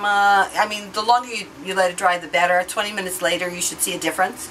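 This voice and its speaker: Noticeable background noise runs behind a woman as she speaks. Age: 60s. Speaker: beauty vlogger. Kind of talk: product demo tutorial. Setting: hotel room. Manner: casual, hesitant with fillers.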